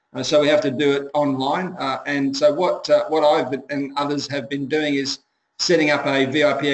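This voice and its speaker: This man speaks with an Australian accent at a fairly high pitch. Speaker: webinar moderator. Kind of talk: webinar Q&A. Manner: fast.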